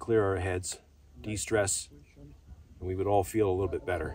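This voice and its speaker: A somewhat breathy man's voice at a fairly low pitch, with ordinary pitch variation and a fairly quick pace, in a dry sound with no echo over light background noise. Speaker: hiker vlogger. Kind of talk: casual vlog chat. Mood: relaxed, reflective. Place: open country. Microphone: camera far.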